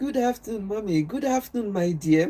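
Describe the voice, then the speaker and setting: A dark, mellow tone with very wide pitch swings and a strong Nigerian accent. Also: woman. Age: old. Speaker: health and wellness livestreamer. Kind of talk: casual livestream chat. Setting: live stream. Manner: deliberately slow.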